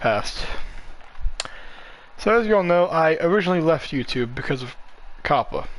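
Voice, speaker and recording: A man's lively intonation comes through despite noticeable background noise. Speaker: gaming live streamer. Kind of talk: casual gameplay commentary. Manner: fast; halting.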